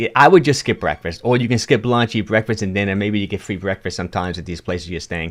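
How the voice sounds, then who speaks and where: A man speaks with a strong New York accent and a fairly low pitch. His pitch varies in an ordinary way against a quiet background. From New York (Bronx, Yonkers). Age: 60s. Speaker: fitness coach. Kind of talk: livestream talk with chat Q&A. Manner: casual, halting.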